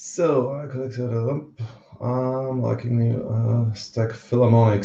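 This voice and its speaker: A man speaks with an Austrian accent in a somewhat breathy voice. His pitch is medium and his tone dark and mellow. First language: German. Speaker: livestream host, precious metals stacker. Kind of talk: casual livestream chat. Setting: livestream from home on camera. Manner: hesitant, many fillers.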